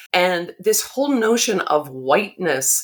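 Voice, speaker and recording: A woman talks at a fairly slow pace with an American accent. She has a plain, everyday voice. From Massachusetts (Arlington, outside Boston). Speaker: author and drama therapist. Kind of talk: interview. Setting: podcast recording.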